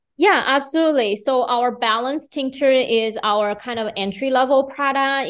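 A woman speaks with a Chinese accent. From China, Beijing. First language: Mandarin Chinese. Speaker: business owner. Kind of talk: interview.

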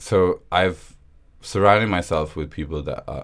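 Vocal fry runs through a man's speech, delivered at a moderate pace with ordinary pitch variation. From Pakistan, Karachi. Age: 20s. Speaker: political whistleblower. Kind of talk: interview.

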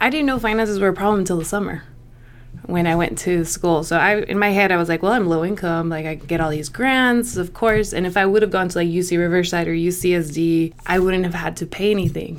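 This woman's pitch sits fairly low, with ordinary pitch variation. She talks at a very fast pace. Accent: American. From US, rural Southern California (Imperial Valley). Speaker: college counselor. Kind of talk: interview. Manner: casual, laughs often.

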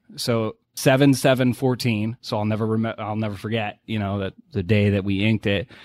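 A man with an American accent, fairly low in pitch, fairly even in intonation and with hardly any pauses, on a very clean, dry, close recording with no echo and a silent background. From New England (Boston). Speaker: oil and gas deal finder. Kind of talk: casual interview.

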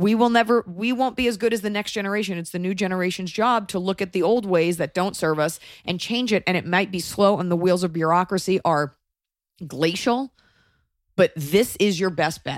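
In a very clean recording with a silent background, a woman with an American accent speaks at a fairly quick pace in an animated tone with ordinary pitch variation. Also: medium pitch for a woman. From United States. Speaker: podcast host. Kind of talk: casual chat.

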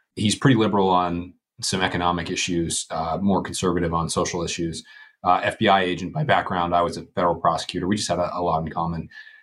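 A man at a very fast pace with a very deep, low pitch and fairly even intonation, on a very clean recording with a silent background. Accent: American. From Western Pennsylvania. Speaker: former congressman and lawyer. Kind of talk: interview conversation.

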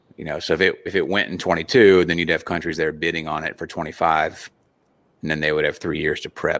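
Speaking at a very fast pace, a man with an American accent is heard in a very clean recording against a silent background. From West Virginia. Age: 40s. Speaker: competitive shooter and army veteran. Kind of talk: casual interview.

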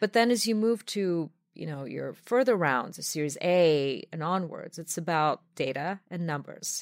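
In a very clean recording with a silent background, a woman with a normal speaking voice talks at a fairly low pitch, her intonation lively and her loudness swinging widely. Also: fairly slow pace, hardly any pauses. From outside the US, non-native English speaker. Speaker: venture capital consultant. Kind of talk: casual interview conversation. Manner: fluent but with frequent filler 'um'.

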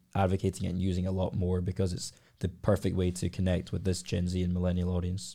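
On a very clean recording with a silent background, a man with a Glaswegian accent speaks fairly quickly in a very deep, low, dark and mellow voice. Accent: Glaswegian Scottish. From Scotland, Glasgow. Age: 20s. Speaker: entrepreneur. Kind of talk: casual chat.

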